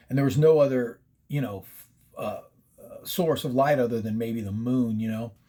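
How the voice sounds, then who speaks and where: A man with an American accent talks at a moderate pace in a dark, mellow tone, with long, frequent pauses, big swings in loudness and ordinary pitch variation. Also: medium pitch for a man. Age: 60s. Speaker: paranormal storyteller. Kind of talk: casual storytelling. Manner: casual, profane, with many fillers.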